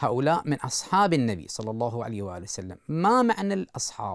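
Over a quiet background, a man speaks at a moderate pace with very wide pitch swings. The sound is dry, with no echo. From Iraq. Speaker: Shia cleric. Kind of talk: religious lecture. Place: studio.

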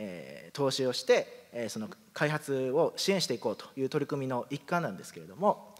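This is an unremarkable speaking voice at a moderate pace. Its intonation is lively. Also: man. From Kumamoto, Japan (Yatsushiro); Kumamoto, Japan. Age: 30s. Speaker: company president. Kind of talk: presentation. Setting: stage with audience. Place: hall.

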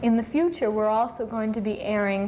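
A woman talks at a moderate pace while light background noise hums underneath. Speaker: cable access station host. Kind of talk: live call-in show host talk. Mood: friendly, upbeat. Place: studio. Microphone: lapel.

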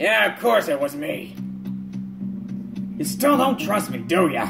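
Over clear music in the background, a man uses a gruff, high-pitched put-on character voice at a moderate pace. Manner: defensive, insistent.

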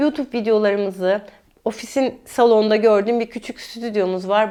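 Speaking with a fairly high pitch, a woman has a normal speaking voice. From Mersin, southern Turkey (Çukurova). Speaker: dietitian. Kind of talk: interview conversation.

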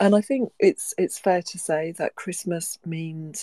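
Against a quiet background, a woman with a fairly low pitch speaks at a fairly slow pace in a dark, mellow tone, with a dry sound and no echo. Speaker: host of an online audio event. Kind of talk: hosted discussion introduction.

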